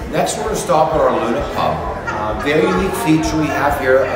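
A man at a very fast pace, with audible room echo and loud background noise. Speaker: community staff guide. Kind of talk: tour guide commentary. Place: hall. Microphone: phone near.

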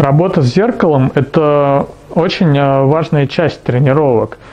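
At a moderate pace, the speech carries a dark, mellow tone. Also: man, fairly high pitch for a man, ordinary pitch variation.

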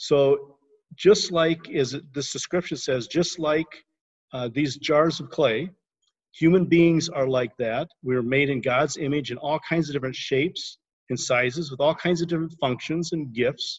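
A somewhat breathy man talks with ordinary pitch variation. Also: moderate pace, quiet background. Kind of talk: devotional teaching. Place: home room. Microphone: video call.

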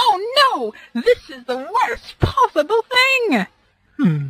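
In a put-on character voice, the speaker talks at an extremely high pitch with very wide pitch swings and a very slow pace. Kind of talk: comic overacting. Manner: loud, enthusiastic, grandiose.

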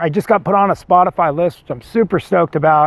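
Quick-paced and animated, a man with an American accent talks with ordinary pitch variation in a dry sound with no echo. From Whittier, Southern California; Southern California. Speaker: singer-songwriter vlogger. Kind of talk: casual vlog monologue. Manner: rambling, animated. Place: forest. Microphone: lapel.

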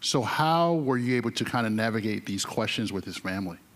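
The man's voice sits at a medium pitch. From North Carolina. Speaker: newspaper reporter, moderator; moderator. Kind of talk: onstage interview. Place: stage. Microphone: handheld.

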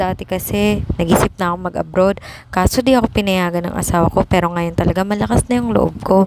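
Speaking at a very fast pace, a woman with a fairly low pitch swings her voice very widely, in a dry sound with no echo over noticeable background noise. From Philippines. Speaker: vlogger. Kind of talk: casual vlog monologue.

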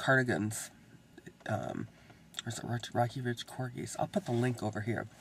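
A man talks at a medium pitch, his voice somewhat breathy. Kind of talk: casual vlog talk to camera. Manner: rambling, hesitant.

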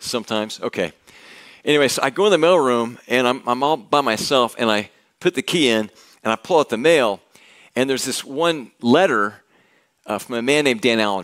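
Over a quiet background, a man talks at a fairly quick pace. His intonation is lively. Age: 60s. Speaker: pastor. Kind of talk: sermon. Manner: halting. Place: church. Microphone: headset.

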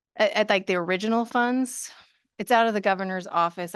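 Over a quiet background, a woman talks at a very fast pace with ordinary pitch variation and some vocal fry. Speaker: regional education program presenter. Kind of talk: presentation with board questions. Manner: halting.

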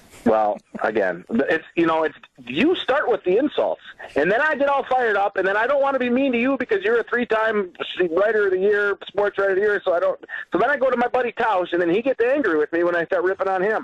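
A man with an American accent talks at a very fast pace and a high pitch, with lively intonation and very even loudness. The sound is dry and close with no echo, though background noise is noticeable. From Wisconsin (Reedsburg). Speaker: IT company representative and sports commentator. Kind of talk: casual sports radio chat.

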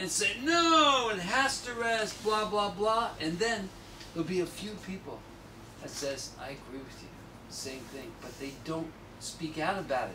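Over light background noise, a man uses a raised, projected voice at a fairly slow pace, with big swings in loudness. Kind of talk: talk and Q&A answer. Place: shop. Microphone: camera far.

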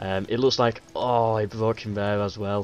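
A man speaks over noticeable background noise. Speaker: game commentator. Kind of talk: strategy game commentary, casual play-by-play. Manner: thinking aloud, halting, with many fillers; conversational, low-key.

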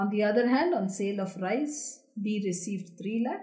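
There's a quiet background behind a woman with a dark, mellow tone. She is somewhat breathy and speaks at a fairly slow pace. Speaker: accounting teacher. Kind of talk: lecture.

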